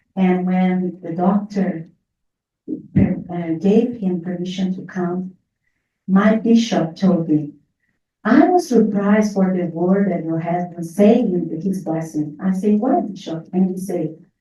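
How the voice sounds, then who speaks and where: A woman's dark, mellow, somewhat breathy voice with a Portuguese accent, very slow in pace and fairly even in intonation. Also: medium pitch for a woman. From Brazil. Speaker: near-death experience survivor. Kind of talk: testimony with Q&A. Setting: in-person group meeting, also on video call.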